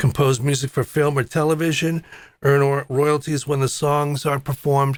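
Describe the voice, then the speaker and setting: A man with an ordinary speaking voice talks at a moderate pace and a fairly high pitch. The recording is very clean, with a silent background. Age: 60s. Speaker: drummer and show host. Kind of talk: live-stream talk. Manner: casual.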